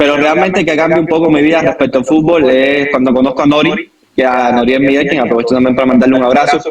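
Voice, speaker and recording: A man with a Cuban accent talks at a very fast pace with hardly any pauses. His pitch is fairly high, with very even loudness and fairly even intonation. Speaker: football coach. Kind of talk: podcast interview.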